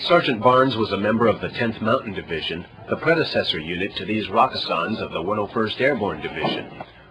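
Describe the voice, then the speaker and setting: Music plays behind a man who speaks with lively intonation. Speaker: military news reporter. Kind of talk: news report voiceover.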